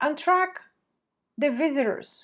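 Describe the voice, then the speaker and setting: Over a quiet background, a woman talks at a fairly slow pace. She has a non-native accent. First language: not English. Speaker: marketing agency president. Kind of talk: webinar presentation.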